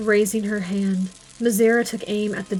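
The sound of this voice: An unforced reading voice delivered with fairly even intonation.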